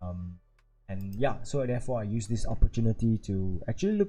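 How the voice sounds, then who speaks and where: Soft-spoken and somewhat breathy, a man with a Singaporean accent has a dark, mellow tone and lively intonation. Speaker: stock market YouTuber. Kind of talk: live stream commentary. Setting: live stream at home at night. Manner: casual, hesitant with fillers.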